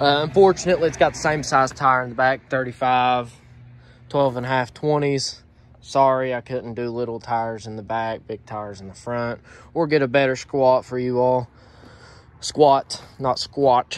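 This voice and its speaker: The sound is dry with no echo. A man speaks at a moderate pace with fairly even intonation. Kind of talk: casual vlog chat. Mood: joking, relaxed. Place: street. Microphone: phone near.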